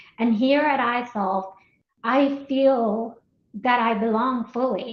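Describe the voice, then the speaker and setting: At a very slow pace, a woman speaks in a fairly high pitch with fairly even intonation. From Colombia. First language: Spanish. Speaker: marketing executive. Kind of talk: interview.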